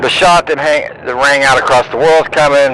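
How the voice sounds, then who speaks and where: Speaking at a moderate pace, a man with a fairly high pitch is heard amid noticeable background noise. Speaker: conspiracy-minded religious vlogger. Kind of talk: monologue video commentary. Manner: hesitant fillers.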